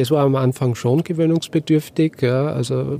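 A man's fairly high, monotone, flat voice at a moderate pace, against noticeable background noise. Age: 60s. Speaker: franchise owner, former corporate CFO. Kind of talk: interview. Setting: podcast bus at a trade fair. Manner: hesitant, many filler sounds.

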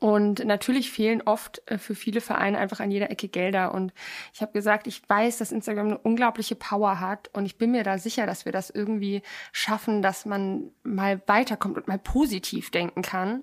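On a very clean recording with a silent background, a woman with an unremarkable speaking voice talks at a moderate pace, with medium pitch and fairly even intonation. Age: 20s. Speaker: podcast co-host, former model contestant and animal rescue activist. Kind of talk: casual chat.

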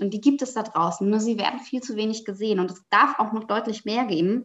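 In a plain, everyday voice, a woman with a fairly high pitch speaks at a fairly quick pace with ordinary pitch variation. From Germany, Palatinate. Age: 30s. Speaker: author and sustainable fashion professional. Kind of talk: podcast interview.

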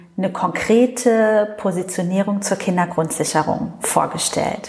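A monotone voice with flat intonation, a very slow pace and a somewhat breathy quality. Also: woman. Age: 40s. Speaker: member of parliament. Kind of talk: interview. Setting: constituency office meeting room.

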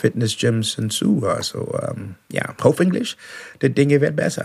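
Noticeable background noise sits behind a speaker with an English accent. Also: man. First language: English (speaking German). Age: 60s. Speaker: professional musician, singing show finalist. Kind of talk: interview. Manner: halting.

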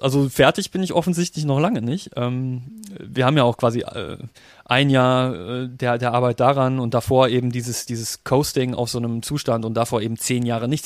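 A man speaks with a medium pitch and a normal speaking voice, at a moderate pace with ordinary pitch variation. The recording is very clean, with a silent background. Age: 30s. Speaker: software designer and personal training client. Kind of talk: casual interview.

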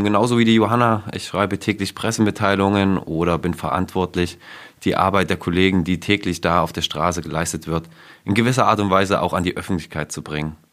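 A man speaks very fast in a very deep, low voice with fairly even intonation, recorded very cleanly against a silent background. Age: 20s. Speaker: police press officer. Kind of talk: casual panel chat. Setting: studio.

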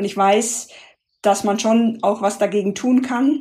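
Dark and mellow in tone, a woman's voice sits rather high in pitch. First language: not German (speaking German). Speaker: sustainability consultant, former penetration tester. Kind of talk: interview. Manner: hesitant, many filler sounds.

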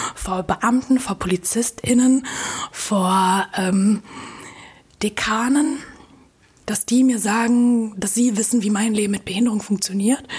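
Fairly high in pitch, a woman speaks at a very slow pace with fairly even intonation. Long, frequent pauses break up her speech. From Germany, Münster. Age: 20s. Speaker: blogger and inclusion activist. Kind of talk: interview conversation. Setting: hotel room.

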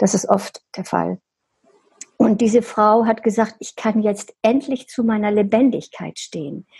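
A woman with a fairly high pitch speaks at a fairly slow pace with fairly even intonation. Her tone is dark and mellow, and there is vocal fry. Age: 70s. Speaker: hairdresser. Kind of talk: interview.

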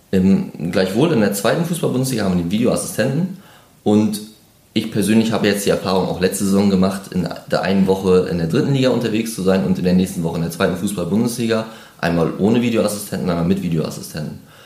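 Audible room echo surrounds a man talking at a very fast pace in a fairly low pitch with ordinary pitch variation. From northeastern Germany (Mecklenburg-Vorpommern). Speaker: football referee. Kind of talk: interview.

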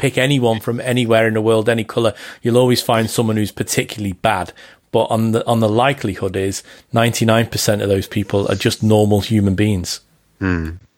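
Here a man speaks with a Liverpool accent at a fairly quick pace. His medium-pitched voice keeps a fairly even intonation. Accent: Scouse. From Liverpool, England. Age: 40s. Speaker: football journalist. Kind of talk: casual chat. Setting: Skype call. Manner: clear.

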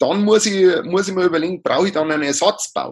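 A man speaks with a high pitch. He has a strong Bavarian accent. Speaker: livestock housing advisor. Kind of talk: interview. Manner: halting, many fillers.

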